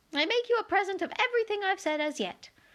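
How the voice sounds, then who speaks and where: In a put-on character voice, a woman squeaks at an extremely high pitch, talking very fast with lively intonation. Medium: read story.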